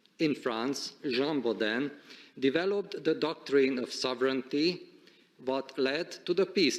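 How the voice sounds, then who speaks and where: At a fairly slow pace, a man with a Hungarian accent speaks at a fairly high pitch with ordinary pitch variation. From Hungary. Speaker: supreme court president. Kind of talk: formal speech. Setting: conference stage with audience. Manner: formal.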